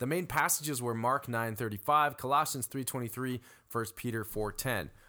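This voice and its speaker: Recorded very cleanly over a silent background, a man speaks fairly quickly in a medium-pitched voice with a bright, sharp tone. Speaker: worship and young adults pastor. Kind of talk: casual podcast discussion.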